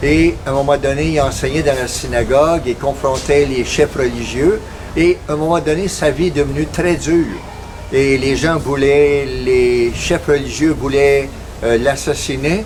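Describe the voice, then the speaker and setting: Against noticeable background noise, a man talks at a fairly slow pace. His pitch is fairly high. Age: 70s. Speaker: missionary. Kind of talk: missionary appeal with devotional reflection. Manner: halting, frequent hesitations.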